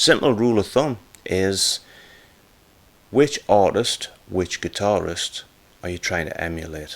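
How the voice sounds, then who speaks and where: A man with a Geordie accent and a fairly low pitch speaks fairly slowly, with long, frequent pauses, lively intonation and big swings in loudness. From northern England, Newcastle area. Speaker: guitar teacher / YouTuber. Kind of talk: tutorial. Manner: casual, conversational.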